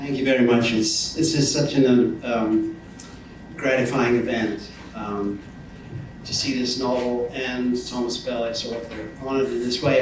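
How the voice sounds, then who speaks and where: A man at medium pitch with fairly even intonation and a moderate pace, with music in the background and audible room echo. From northern England. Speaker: professor. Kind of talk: public speech. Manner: halting, with many fillers.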